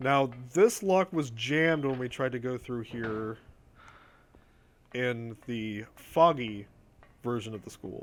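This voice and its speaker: Speaking with an American accent at a medium pitch and a very slow pace, a man varies his pitch in an ordinary way, pauses long and often, and swings widely in loudness. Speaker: video game streamer. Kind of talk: live gameplay commentary. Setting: live stream. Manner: casual, conversational.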